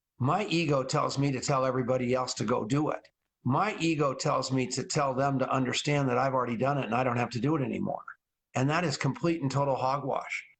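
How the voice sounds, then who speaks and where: The man talks at a very fast pace in a fairly high, somewhat breathy voice. His pitch varies in an ordinary way while his loudness stays very even. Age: 60s. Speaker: network marketing trainer. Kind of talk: interview. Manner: animated.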